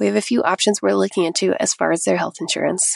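A woman with an American accent at a fairly quick pace, over a quiet background. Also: dry, close sound with no echo. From Idaho, US. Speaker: listener asking a question. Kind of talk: recorded voicemail question.

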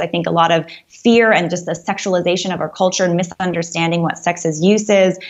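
A woman with a normal speaking voice talks at a fairly quick pace, using a medium pitch and fairly even intonation. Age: 30s. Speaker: anti-abortion activist. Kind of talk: radio interview.

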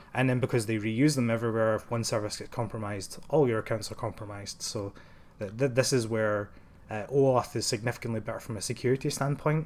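Spoken at a very fast pace with a Glaswegian accent. The intonation stays fairly even. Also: man, medium pitch for a man. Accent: Glaswegian Scottish. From Scotland, Glasgow. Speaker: software engineer. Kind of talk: technical interview. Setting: office.

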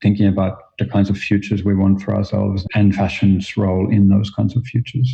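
A man speaks at a fairly quick pace with a fairly low pitch. His voice is somewhat breathy and his intonation monotone and flat. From Finland. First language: Finnish. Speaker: fashion design professor. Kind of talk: interview conversation.

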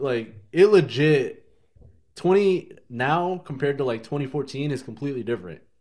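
A man with a plain, everyday voice keeps a moderate pace, his fairly high pitch carrying lively intonation. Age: 20s. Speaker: podcast co-host. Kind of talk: casual chat.

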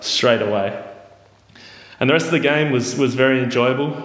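An Australian-accented man against noticeable background noise. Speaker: football fan, friend of host. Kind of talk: storytelling. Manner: halting.

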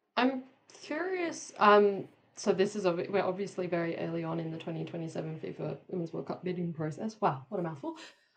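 Fairly quick speech from a woman with an Australian accent. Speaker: podcast co-host. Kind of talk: casual chat.

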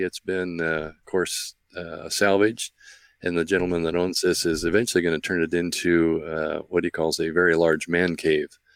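A man talks with an American accent. His pitch is very deep and low, and his pace is fairly quick. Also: dry, close sound with no echo. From US Midwest, Central Illinois. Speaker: retired space history researcher. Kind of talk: casual interview with narrated video tour. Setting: remote call, live stream. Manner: hesitant, many fillers.

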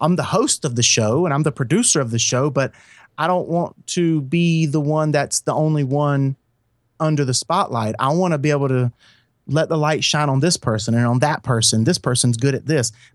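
A man with an ordinary speaking voice and fairly high pitch talks at a moderate pace with very even loudness and ordinary pitch variation, in a very clean recording with a silent background and a dry, close sound with no echo. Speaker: podcast host and producer. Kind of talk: casual chat.

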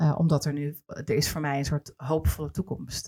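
A woman with a very deep, low voice speaks in a dark, mellow tone, somewhat breathy, recorded dry and close with no echo. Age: 40s. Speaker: podcast host and television producer. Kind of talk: casual interview.

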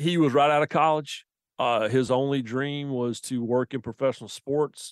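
In a quiet background, a man with a Southern US accent talks at a moderate pace and medium pitch, with ordinary pitch variation and a dry, close sound with no echo. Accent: Southern, noticeable. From US South, the Carolinas. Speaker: sports journalist and author. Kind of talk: interview. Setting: remote from another city.

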